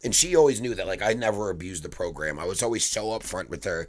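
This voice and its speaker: With an American accent, a man speaks at a very fast pace in a fairly low voice with lively intonation. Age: 30s. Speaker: podcaster and glass artist. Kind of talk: casual monologue. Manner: casual, profane.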